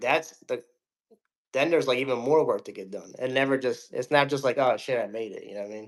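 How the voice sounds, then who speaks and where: Talking at a very fast pace, a man lets his loudness swing widely. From New Jersey, US. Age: 30s. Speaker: music producer. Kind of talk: casual interview.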